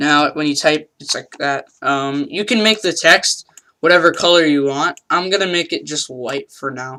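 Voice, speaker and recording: A man's bright, sharp voice with ordinary pitch variation. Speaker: gaming YouTuber. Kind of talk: tutorial. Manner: many fillers (um, uh, like); talking louder than usual.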